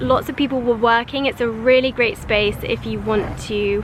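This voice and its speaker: With a London accent, a woman talks at a moderate pace in a fairly high pitch with ordinary pitch variation, over noticeable background noise. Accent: British English (London). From London, England. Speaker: lifestyle vlogger. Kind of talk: casual talk to camera.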